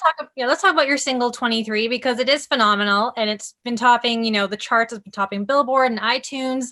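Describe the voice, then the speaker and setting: Her voice high-pitched, bright and sharp, a woman speaks at a fairly quick pace in an upbeat tone, recorded very cleanly against a silent background. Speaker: entertainment interviewer. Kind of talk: interview host.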